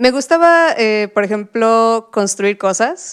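A woman's voice at a fairly slow pace. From Mexico, Puebla. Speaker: frontend developer. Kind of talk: interview storytelling. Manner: hesitant with fillers.

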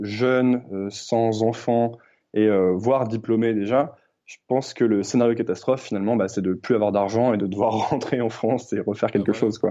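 The tone is dark and mellow, with fairly even intonation. Delivery comes at a moderate pace over a quiet background. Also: man. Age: 20s. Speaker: podcast host. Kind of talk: interview conversation. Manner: hesitant with fillers.

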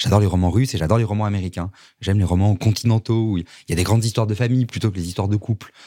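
A man's fairly low, dark, mellow voice at a very fast pace, with fairly even intonation, on a very clean recording with a silent background. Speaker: novelist. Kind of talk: interview. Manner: halting.

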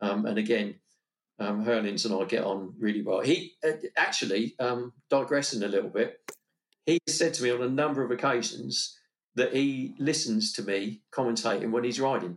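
A man with an unremarkable speaking voice, medium in pitch, talks at a moderate pace with lively intonation. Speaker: motorsport commentator. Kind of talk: casual interview chat.

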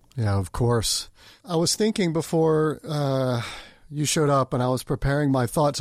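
With an ordinary speaking voice, a man talks at a fairly high pitch with ordinary pitch variation in a very clean recording with a silent background. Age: 40s. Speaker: podcast host. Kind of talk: interview.

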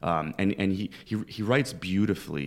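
A man with a Canadian accent speaks at a fairly quick pace, his pitch very deep and low. The recording is very clean with a silent background. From Canada, Toronto (Scarborough). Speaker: professor. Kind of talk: casual interview.

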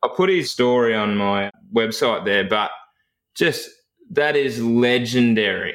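The man's lively intonation is broken up by long, frequent pauses. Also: medium pitch for a man, fairly slow pace. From rural Victoria, Australia. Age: 30s. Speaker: firefighter recruitment coach and podcast host. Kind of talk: interview, casual chat.

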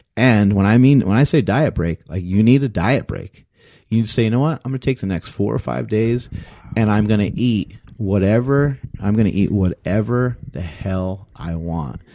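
Speaking in an American accent, a man has a fairly low pitch and a dark, mellow tone, with lively intonation at a moderate pace against a quiet background. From US East Coast. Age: 40s. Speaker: strength coach and podcaster. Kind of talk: casual chat. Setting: home gym studio.

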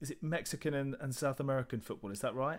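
Speaking at a very fast pace, a man with a British accent and a fairly high pitch is heard on a very clean recording with a silent background. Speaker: podcast host. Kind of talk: casual interview.

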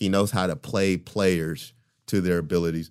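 A man at a fairly slow pace with a very deep, low pitch, on a very clean recording with a silent background. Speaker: podcast host. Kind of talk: casual banter. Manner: animated.

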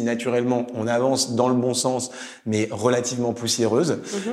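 There is audible room echo as this man speaks. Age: 30s. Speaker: startup executive. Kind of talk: interview. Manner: hesitant, many fillers.

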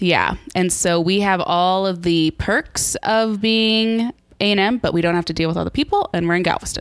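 With an American accent, a woman talks in an unremarkable speaking voice at medium pitch and a moderate pace, with ordinary pitch variation and very even loudness. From Texas (College Station). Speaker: museum content developer. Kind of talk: casual interview conversation.

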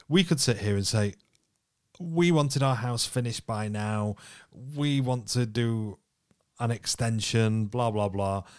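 Speaking fairly slowly with long, frequent pauses, a man with a British accent uses a medium pitch and ordinary pitch variation in a very clean recording with a silent background. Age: 30s. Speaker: podcast co-host. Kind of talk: casual chat.

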